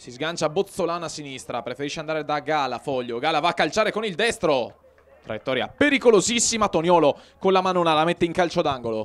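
Talking at a very fast pace, a man with a fairly high pitch uses lively intonation and an animated tone. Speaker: sports commentator. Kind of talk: live football commentary. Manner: fast, clipped play-by-play, rattling off names, with hesitant 'eh' fillers; animated, urgent on chances.

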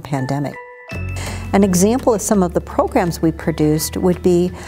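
Over clear background music, a woman talks at a moderate pace in a fairly low voice. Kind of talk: interview answer. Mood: proud, upbeat.

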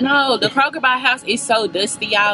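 Faint music plays in the background. The speech moves at a fairly quick pace. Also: woman. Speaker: vlogger. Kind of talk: casual vlog chat. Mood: playful, animated. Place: car. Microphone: phone near.

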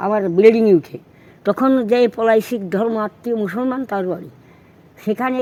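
Her dark, mellow voice sits fairly high for a woman, with ordinary pitch variation. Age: 80s+. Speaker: elderly local resident. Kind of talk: oral history interview. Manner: outspoken.

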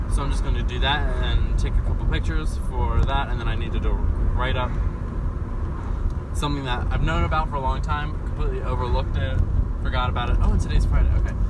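At a very fast pace, a man talks while loud background noise plays. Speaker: student vlogger. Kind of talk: casual vlog chat. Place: car. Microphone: phone near.

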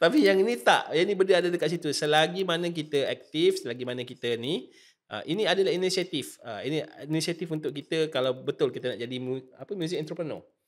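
A man speaks at a very fast pace in a high-pitched voice with ordinary pitch variation over a quiet background. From Malaysia. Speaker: nasyid singer and podcast host; podcast host. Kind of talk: casual interview chat. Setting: studio. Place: studio. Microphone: studio mic.

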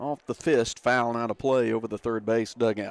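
This man talks at a moderate pace, his medium pitch carried on fairly even intonation. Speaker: radio sports announcer. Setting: ballpark press box, radio broadcast. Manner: polished, fluent broadcaster delivery.

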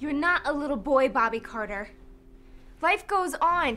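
A woman puts on a character voice with a high pitch and a bright, sharp tone. She speaks at a fairly slow pace with lively intonation.

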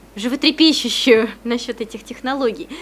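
Light background noise runs under a woman's moderate-paced speech. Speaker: research center head and club organizer. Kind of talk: moderated academic discussion. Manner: frequent filler hesitations. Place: meeting room. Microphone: podium.

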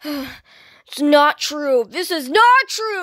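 A put-on character voice is used here. Its pitch is high. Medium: dub.

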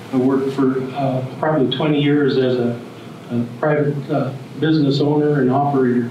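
A man at a moderate pace, monotone and flat, with very even loudness, audible room echo, and light background noise. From Wyoming, Riverton; Wyoming. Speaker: speaker. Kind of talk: presentation. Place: hall.

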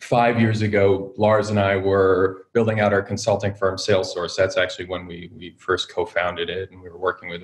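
A man's fairly low, somewhat breathy voice in a monotone, flat delivery at a fairly quick pace, with hardly any pauses and a quiet background. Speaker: guest. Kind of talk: interview answer. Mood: friendly, relaxed. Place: home room. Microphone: video call.

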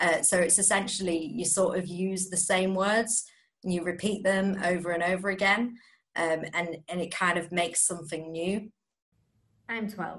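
The speaker has an East Midlands accent. The pace is moderate and the intonation fairly even. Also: woman, medium pitch for a woman. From Nottingham, England. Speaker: spoken word poet. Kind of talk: interview with poetry readings.

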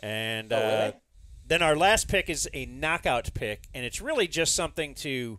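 The pitch swings very widely at a moderate pace, with a bright, sharp tone. The sound is dry with no echo over a quiet background. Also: man. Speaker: podcast host. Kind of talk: casual podcast chat explaining rules. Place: studio. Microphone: studio mic.

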